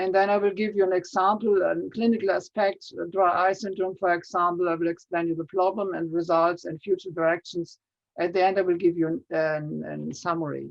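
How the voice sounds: Vocal fry runs through a fairly quick pace with little pitch movement. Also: man, high pitch for a man.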